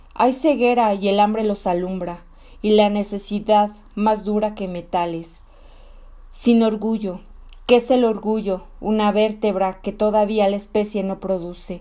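Medium pitch and a dark, mellow tone from a woman, at a fairly slow pace with fairly even intonation. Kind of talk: poetry reading, feminist spoken word.

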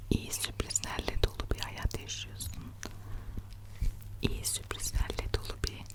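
Whispering at a very slow pace with long, frequent pauses, a woman uses a gentle, soothing tone over noticeable background noise. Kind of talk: ASMR personal-attention affirmations and soothing talk. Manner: soft, gentle, soothing, whispery.

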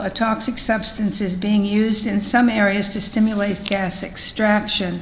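Amid noticeable background noise and audible room echo, a woman with a fairly high voice speaks at a moderate pace. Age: 80s+. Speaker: public hearing speaker, clean water activist. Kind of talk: prepared statement at public hearing. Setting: public hearing hall.

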